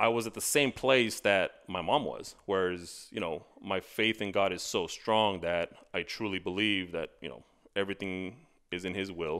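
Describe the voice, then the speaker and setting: Against a quiet background, a man with an American accent and a plain, everyday voice talks at a moderate pace and fairly low pitch, with ordinary pitch variation. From Texas, El Paso; Texas. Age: 40s. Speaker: accountability coach. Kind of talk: casual interview. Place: studio.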